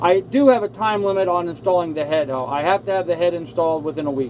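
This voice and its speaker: Amid noticeable background noise, a man speaks at a high pitch with lively intonation. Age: 60s. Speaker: sailing vlogger. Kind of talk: live stream chat reading viewer comments. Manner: casual, halting.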